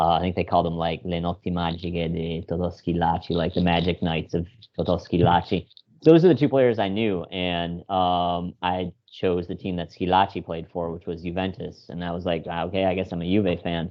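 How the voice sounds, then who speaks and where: Speaking in an American accent, a man with a very deep, low voice keeps a moderate pace and a monotone, flat intonation. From Chicago. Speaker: podcast guest. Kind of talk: casual chat.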